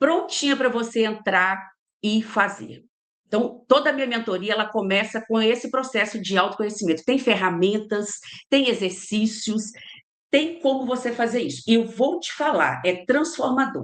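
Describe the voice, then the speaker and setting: A woman talks at a moderate pace in a fairly high pitch. Her intonation is lively. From Minas Gerais, Brazil (Ipatinga). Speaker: leadership trainer and mentor. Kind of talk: interview. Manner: animated.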